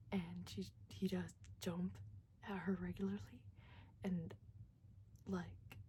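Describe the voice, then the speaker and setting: Soft-spoken and somewhat breathy, a woman with a very deep, low pitch and a dark, mellow tone speaks at a very slow pace, with very wide pitch swings and long, frequent pauses. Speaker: vlogger. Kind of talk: casual chat. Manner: hesitant, many fillers.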